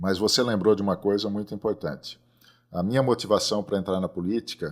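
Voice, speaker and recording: A man with a normal speaking voice, fairly low in pitch, at a fairly quick pace, with ordinary pitch variation, on a very clean recording with a silent background. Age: 60s. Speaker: agronomist and seed company president. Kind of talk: podcast interview.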